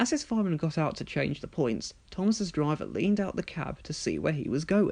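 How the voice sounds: A man speaks at a moderate pace with a fairly high pitch and a slightly mellow tone. His pitch swings very widely, and vocal fry comes through.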